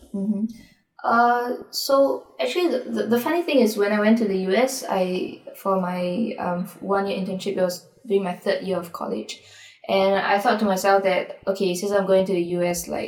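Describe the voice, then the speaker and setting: A woman talks at a moderate pace in a medium pitch with ordinary pitch variation, over noticeable background noise. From Singapore. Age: 20s. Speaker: singer-songwriter. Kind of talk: interview conversation.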